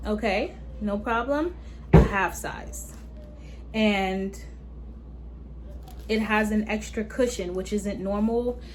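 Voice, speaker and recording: Long, frequent pauses break up a woman's very slow speech, heard with audible room echo. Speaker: beauty and fashion YouTuber. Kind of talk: product review unboxing. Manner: casual, chatty.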